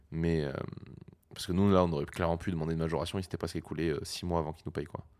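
A man's very deep, low voice at a very fast pace with monotone, flat intonation. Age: 20s. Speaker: audiovisual technician and entrepreneur. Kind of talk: casual interview.

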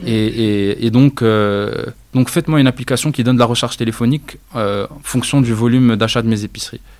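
Speaking at a fairly quick pace and medium pitch, a man keeps his intonation fairly even while his loudness swings widely. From Morocco (Rabat, then Casablanca). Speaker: startup founder. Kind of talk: interview. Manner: halting, frequent repetitions.

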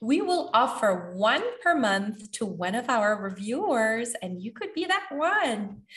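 With a Quebec accent and a fairly high pitch, a woman speaks at a very slow pace with very wide pitch swings and hardly any pauses, over noticeable background noise. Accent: Canadian French-accented English. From Canada. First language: French. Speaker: podcast host and language school founder. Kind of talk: scripted educational podcast talk.

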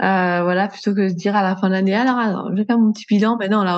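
A woman speaks in a monotone, flat way. The background is quiet. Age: 30s. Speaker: entrepreneur, customer care manager. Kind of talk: casual interview chat.

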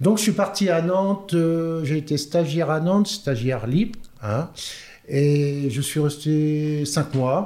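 A man with a fairly high pitch and a dark, mellow tone speaks at a very slow pace. His pitch varies in an ordinary way while his loudness stays very even. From France, Orléans. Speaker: football coach. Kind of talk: interview.

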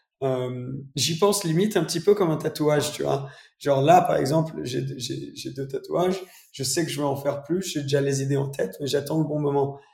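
A man with a fairly high, somewhat breathy voice speaks at a moderate pace with ordinary pitch variation. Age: 20s. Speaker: automotive YouTuber. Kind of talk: casual interview.

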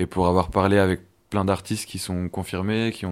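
A man with a very deep, low voice speaks with fairly even intonation on a very clean recording with a silent background. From Besançon, eastern France. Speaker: musician. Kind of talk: interview.

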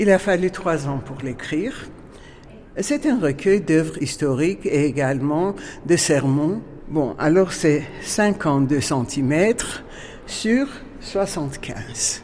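In an Armenian accent, the speech moves at a very slow pace with long, frequent pauses. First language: Armenian (speaking French). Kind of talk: guided museum tour.

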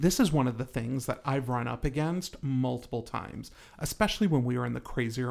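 A man speaks in a normal speaking voice at medium pitch. His pace is moderate, with ordinary pitch variation. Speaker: real estate agent and podcast host. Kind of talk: casual chat.

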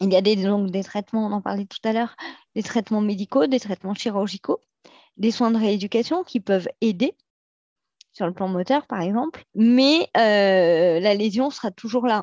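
A woman speaks at a moderate pace and medium pitch with ordinary pitch variation. The background is quiet. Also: dry, close sound with no echo. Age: 40s. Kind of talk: interview testimony. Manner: hesitant, many fillers.

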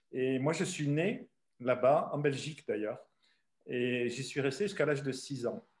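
A man talks with lively intonation at a fairly high pitch. His voice is somewhat breathy. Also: fairly slow pace. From southern France. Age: 60s. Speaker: travel company founder. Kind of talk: interview. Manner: halting.

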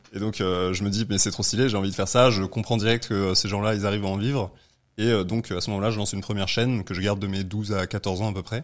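A man with a fairly low pitch speaks very fast in a monotone, flat delivery on a very clean recording with a silent background. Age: 20s. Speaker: entrepreneur. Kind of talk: casual chat.

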